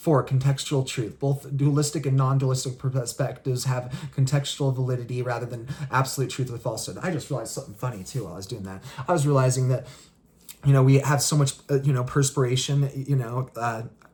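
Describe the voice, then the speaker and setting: This man speaks at a very fast pace, somewhat breathy, with ordinary pitch variation. His loudness swings in a big way. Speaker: spirituality video creator. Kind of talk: solo explainer monologue. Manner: halting, many fillers and restarts.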